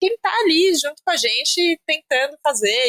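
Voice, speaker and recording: A woman talks with ordinary pitch variation in a dry, close sound with no echo. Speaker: journalist and podcast host. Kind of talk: interview conversation. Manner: fast.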